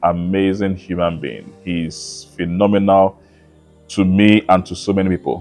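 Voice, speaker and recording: Music plays behind a man with a very deep, low voice. He talks at a fairly slow pace with fairly even intonation. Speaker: interviewer. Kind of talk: interview introduction to camera.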